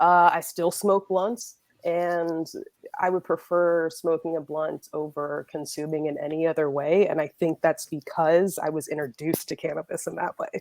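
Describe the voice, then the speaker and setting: This is a woman with a normal speaking voice, fairly low in pitch, at a moderate pace with fairly even intonation. The recording is very clean with a silent background and a dry, close sound with no echo. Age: 20s. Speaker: cannabis entrepreneur and event organizer. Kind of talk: casual interview chat. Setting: video podcast.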